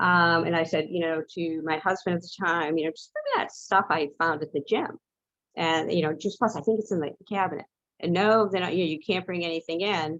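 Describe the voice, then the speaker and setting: Fairly quick speech from a woman with a fairly low pitch. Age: 60s. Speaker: health testimony speaker, nutrition product distributor. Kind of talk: testimony. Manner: halting.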